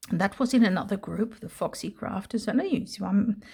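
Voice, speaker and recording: This woman has a fairly high, somewhat breathy voice with a dark, mellow tone and a Dutch accent. She speaks fairly quickly with fairly even intonation, on a very clean recording with a silent background. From Netherlands. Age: 60s. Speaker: retired English teacher, crafter. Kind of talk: casual crafting video talk to camera.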